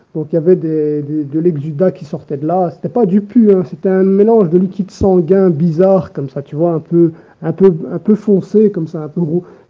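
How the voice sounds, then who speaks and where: A man speaks at a high pitch, his loudness swinging widely. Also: fairly even intonation, moderate pace. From Belgium, Brussels. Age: 20s. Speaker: patient giving testimony. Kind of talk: testimony. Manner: halting.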